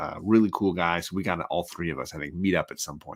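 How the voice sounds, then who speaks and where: A soft-spoken man's very deep, low voice with a bright, sharp tone and ordinary pitch variation, in a very clean recording with a silent background. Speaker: comic book YouTuber. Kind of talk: casual livestream chat. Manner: soft-spoken, keeping voice down.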